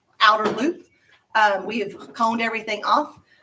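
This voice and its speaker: Here a woman speaks at a fairly high pitch. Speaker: school principal. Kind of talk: school morning announcements. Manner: fast.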